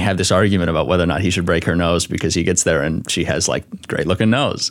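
With an American accent and ordinary pitch variation, a man speaks against noticeable background noise. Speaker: author and TikToker. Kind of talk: casual chat.

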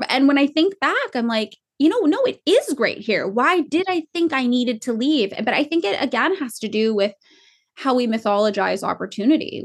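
Speaking in an American accent, a woman has a plain, everyday voice. She talks at a moderate pace with lively intonation. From California. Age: 30s. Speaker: clothing company founder and author. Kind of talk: casual interview.

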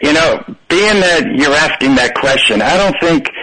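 A man speaks at a fairly high pitch with lively intonation. His tone is bright and sharp. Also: moderate pace.

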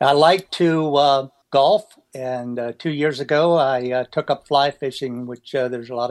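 Recorded very clean with a silent background and a dry, close sound with no echo, a man with an American accent speaks at a moderate pace and medium pitch with ordinary pitch variation. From US, Pennsylvania (near Gettysburg). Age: 60s. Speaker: retired government intelligence worker in recovery. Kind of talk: interview testimony. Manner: halting, many fillers and repetitions.

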